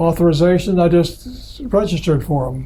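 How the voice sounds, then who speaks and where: A man with an American accent speaks slowly-ish, at a fairly slow pace, in a high pitch. Noticeable background noise and audible room echo surround him. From US Midwest, Michigan. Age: 80s+. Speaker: computer pioneer. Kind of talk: oral history interview. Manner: halting.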